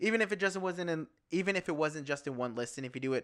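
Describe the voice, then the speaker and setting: On a very clean recording with a silent background, a man mumbles at a very fast pace. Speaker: podcast co-host. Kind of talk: casual chat. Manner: mumbling, stuttering.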